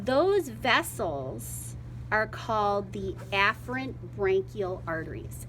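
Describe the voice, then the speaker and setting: A woman speaks with an American accent. Room echo is audible. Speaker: biology teacher. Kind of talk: classroom dissection demonstration. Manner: casual, conversational.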